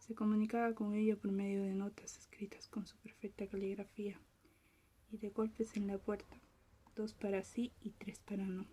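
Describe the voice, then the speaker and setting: A woman at a medium pitch talks at a moderate pace in a calm tone with monotone, flat intonation. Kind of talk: ASMR soft-spoken reading of a short story. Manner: soft-spoken, whispery, calm.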